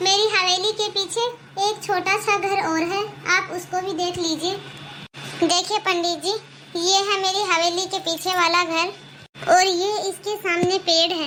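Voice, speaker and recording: A woman uses a cartoonish character voice at an extremely high pitch. Her intonation is monotone and flat at a moderate pace, with clear background noise. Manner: shrill, harsh, imperious.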